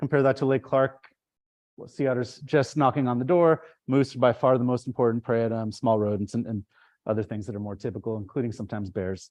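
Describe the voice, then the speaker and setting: A man talks at a very fast pace. His medium pitch shows ordinary variation. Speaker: ecology professor. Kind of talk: lecture. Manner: animated.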